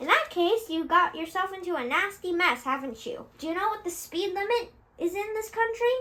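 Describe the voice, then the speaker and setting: Putting on a character voice, a woman talks at a fairly quick pace with an extremely high pitch and very wide pitch swings. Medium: read story. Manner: mocking, sharp, bullying.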